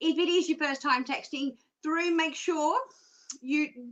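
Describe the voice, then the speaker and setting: Raising and projecting her voice, a woman speaks at a fairly slow pace in a bright, sharp tone. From Australia. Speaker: psychic show presenter. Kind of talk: live stream presenting. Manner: casual, chatty, many fillers.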